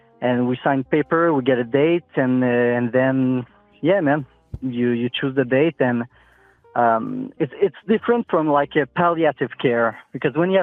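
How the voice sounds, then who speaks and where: Over music in the background, a man with a French Canadian accent speaks at a fairly slow pace, his medium-pitched voice rising and falling in an ordinary way. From Quebec, Montreal. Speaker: nurse. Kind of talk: phone-in chat. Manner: halting, many fillers.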